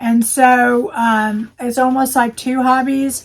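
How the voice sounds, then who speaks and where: A woman with a high pitch speaks at a fairly slow pace, using ordinary pitch variation. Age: 60s. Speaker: crafting YouTuber. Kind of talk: casual chat. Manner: hesitant, many fillers.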